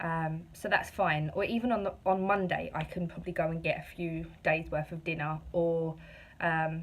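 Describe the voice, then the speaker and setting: Her voice is somewhat breathy, and the woman keeps her intonation fairly even. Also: fairly low pitch for a woman, moderate pace. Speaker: vlogger. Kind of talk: casual vlog monologue. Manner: hesitant, many fillers; rambling.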